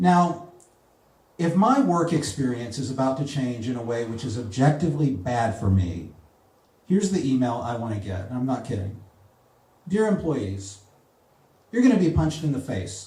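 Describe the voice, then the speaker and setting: Here a man speaks with a dark, mellow tone that is somewhat breathy. His pitch swings very widely, and he takes long, frequent pauses. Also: medium pitch for a man, moderate pace. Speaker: spoken word comedy poet. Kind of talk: live comedy poetry slam performance. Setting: live venue with audience.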